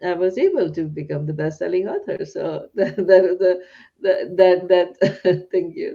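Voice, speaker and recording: A woman with a non-native accent speaks at a fairly slow pace in a medium-pitched, dark, mellow voice. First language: not English. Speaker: psychiatrist and podcast host. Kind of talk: interview conversation. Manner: halting, repeats words.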